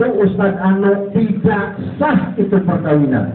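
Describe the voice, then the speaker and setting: The voice comes through noticeable background noise and audible room echo. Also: man. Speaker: Islamic preacher. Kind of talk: sermon. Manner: loud.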